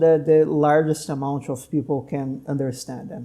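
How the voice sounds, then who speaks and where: This man has a fairly high pitch and a dark, mellow tone. He speaks at a moderate pace with fairly even intonation. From Brazil. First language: Portuguese. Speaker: doctor and podcast host. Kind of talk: casual interview conversation.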